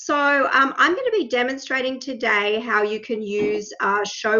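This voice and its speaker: A woman with an Australian accent talks at a fairly slow pace. Her pitch varies in an ordinary way. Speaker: math faculty. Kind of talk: software demonstration. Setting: video call.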